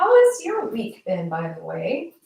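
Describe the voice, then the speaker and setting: A soft-spoken woman talks at a very slow pace. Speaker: livestream commentator. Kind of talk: casual livestream monologue. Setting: live stream. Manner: soft-spoken, very quiet. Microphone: built-in mic, low level instead of usual external mic.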